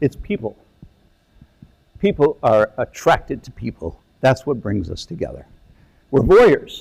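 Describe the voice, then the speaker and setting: A man speaks at a fairly slow pace with long, frequent pauses. His loudness swings widely. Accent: American. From upstate New York. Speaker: landscape architect. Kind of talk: lecture. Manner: halting.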